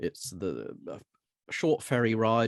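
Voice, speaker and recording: A man speaks with a British accent at a fairly low pitch. The sound is dry and close with no echo. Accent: British, noticeably non-American. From southern England, Hampshire. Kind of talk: podcast interview. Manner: hesitant, many fillers and repeats.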